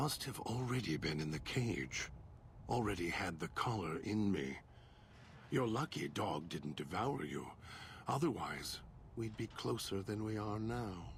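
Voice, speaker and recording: Using a put-on character voice, a man speaks at a fairly low pitch and moderate pace. He leaves long, frequent pauses, with clear background noise behind him. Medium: short film. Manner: measured, deliberate.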